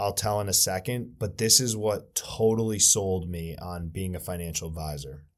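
Speaking at a moderate pace in a very clean recording with a silent background, a man uses a normal speaking voice, fairly low pitch and ordinary pitch variation. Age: 20s. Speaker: financial advisor. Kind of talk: casual chat.

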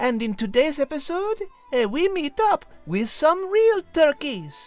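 Over faint background music, a man does a put-on character voice at an extremely high pitch. He goes at a fairly slow pace with big pitch swings.

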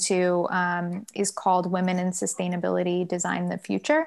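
In a very clean recording with a silent background, a woman of medium pitch speaks at a moderate pace in an ordinary speaking voice. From US South, Durham, North Carolina. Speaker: sustainability consultant. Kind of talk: interview.

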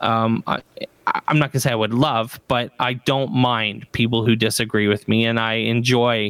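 Medium in pitch, a man's voice holds a monotone, flat intonation. He speaks at a moderate pace. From Canada, Ontario. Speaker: educator and podcaster. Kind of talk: casual interview chat. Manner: casual, many fillers and restarts.

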